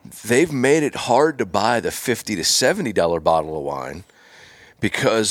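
A man's medium-pitched voice shows vocal fry and very wide pitch swings. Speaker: podcast host. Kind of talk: casual interview. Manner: enthusiastic.

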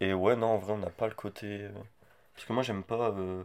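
The recording is very clean, with a silent background. A man speaks at a fairly low pitch in a monotone, flat way. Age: 20s. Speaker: podcast host's boyfriend, student. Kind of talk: casual chat.

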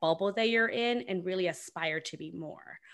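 Bright, sharp tone from a medium-pitched woman with ordinary pitch variation. The recording is very clean, the background silent. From Guatemala. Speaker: career coach. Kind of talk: interview answers.

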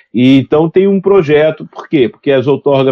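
A man with a fairly high voice talks at a moderate pace with lively intonation. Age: 60s. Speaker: aviation regulator director. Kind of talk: interview. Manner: halting.

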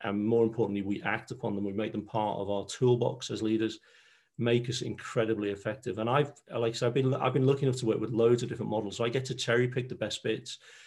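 With a Liverpool accent, a man speaks at a very fast pace. His intonation is fairly even over a quiet background. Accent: Scouse (Liverpool). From Liverpool, England. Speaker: leadership trainer and NLP coach. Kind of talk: interview.

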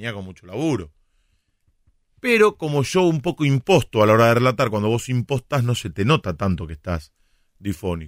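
A man with a Rioplatense accent, medium pitch, very wide pitch swings and a moderate pace, in a dry, close sound with no echo and a very clean recording with a silent background. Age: 40s. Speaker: radio host and sports commentator. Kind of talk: casual chat.

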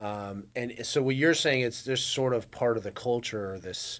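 A man with a plain, everyday voice talks at a moderate pace with fairly even intonation. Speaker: podcast host. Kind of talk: casual interview chat.

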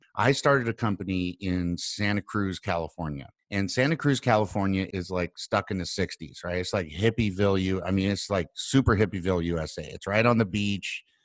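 A man with a fairly low pitch and a normal speaking voice talks at a fairly quick pace on a very clean recording with a silent background. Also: ordinary pitch variation. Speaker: podcast host and entrepreneur.

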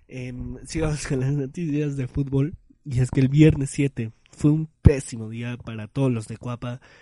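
At a fairly slow pace, a man talks at a medium pitch with a dark, mellow tone in a dry, close sound with no echo. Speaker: podcast host. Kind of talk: casual monologue. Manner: animated.

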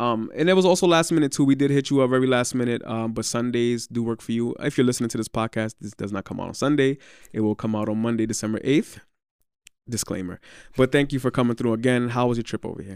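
A man talks at a very fast pace, medium in pitch with ordinary pitch variation. The recording is very clean, with a silent background and a dry, close sound with no echo. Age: 20s. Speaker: podcast host. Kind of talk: casual interview chat.

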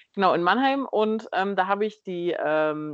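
A woman speaks in an ordinary speaking voice at a medium pitch, with ordinary pitch variation. The sound is dry and close with no echo, over a quiet background. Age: 20s. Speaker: biochemist and cosplayer. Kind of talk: casual interview chat.

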